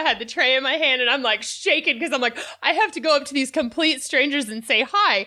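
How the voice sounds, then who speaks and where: A woman speaks in a raised, projected voice with a high pitch and a bright, sharp tone. Her pace is fairly quick, and her pitch varies in an ordinary way. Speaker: podcast host. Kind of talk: interview conversation.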